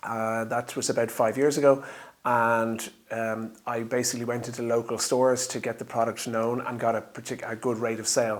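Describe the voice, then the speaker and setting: Speaking at a moderate pace, a man with an Irish accent holds a medium pitch in monotone, flat intonation. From Ireland. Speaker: drinks company founder. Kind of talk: interview monologue. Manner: hesitant, many fillers.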